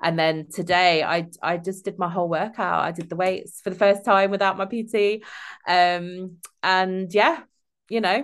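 The speaker has an East Midlands accent. Intonation stays fairly even at a moderate pace. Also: woman, medium pitch for a woman. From England. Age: 30s. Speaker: former social care worker, gym-goer. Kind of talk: casual chat. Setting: remote call from home. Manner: halting, many fillers.

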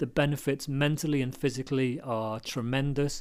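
A man speaks with a British accent at a moderate pace, his pitch fairly high. The recording is very clean, with a silent background. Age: 40s. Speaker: podcast host. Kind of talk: solo monologue. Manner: halting.

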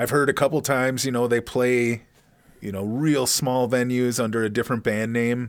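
Heard in a very clean recording with a silent background, a plain, everyday voice moves at a moderate pace with fairly even intonation. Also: man. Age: 40s. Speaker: podcast co-host and musician. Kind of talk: casual chat.

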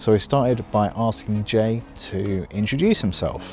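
Through noticeable background noise, a man speaks at a fairly low pitch with ordinary pitch variation. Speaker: podcast host, musician and music educator. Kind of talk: podcast intro and interview. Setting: outdoors. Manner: rambling.

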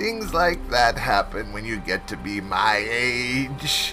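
A man's put-on character voice at a fairly slow pace over loud music in the background. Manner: cackling, amused.

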